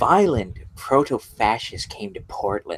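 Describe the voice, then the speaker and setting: Fairly slow in pace, the delivery is done in a put-on character voice. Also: man. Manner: mocking.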